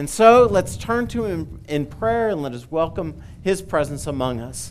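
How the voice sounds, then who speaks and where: Light background noise sits behind a man speaking at a fairly slow pace. His voice is high in pitch. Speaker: pastor. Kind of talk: welcome and prayer. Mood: warm, cheerful then reverent. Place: church. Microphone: headset.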